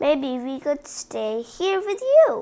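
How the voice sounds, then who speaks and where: A woman uses a put-on character voice at a high pitch. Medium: read story.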